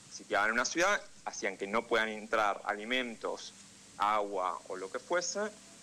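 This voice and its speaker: A man with a Rioplatense accent, bright, sharp tone and medium pitch, lively intonation at a fairly slow pace. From Argentina, Buenos Aires. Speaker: political analyst and correspondent. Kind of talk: radio interview.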